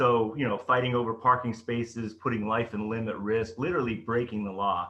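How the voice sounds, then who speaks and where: This man talks at a fairly quick pace with hardly any pauses, in a normal speaking voice. His pitch is medium and his intonation fairly even. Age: 50s. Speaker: storyteller, business consultant. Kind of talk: motivational talk. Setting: online rally.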